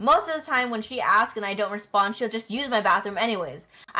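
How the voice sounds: Pitch moves in an ordinary way as a natural reading voice carries the text.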